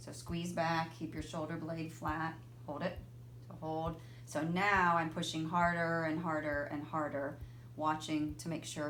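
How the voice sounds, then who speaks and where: A woman speaks at a moderate pace, with very deep, low pitch and monotone, flat intonation. Noticeable background noise and audible room echo are present. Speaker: physical therapist. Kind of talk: tutorial.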